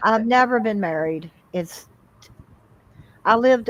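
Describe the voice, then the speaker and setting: Here is an unremarkable speaking voice at a moderate pace. Its pitch varies in an ordinary way. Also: woman. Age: 60s. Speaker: livestream guest. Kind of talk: casual chat.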